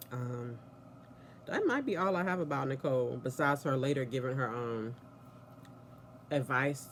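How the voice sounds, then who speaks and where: Noticeable background noise sits under this recording. A woman speaks with a very deep, low pitch. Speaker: TV soap opera reviewer. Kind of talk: casual vlog review. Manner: chatty, rambling conversational.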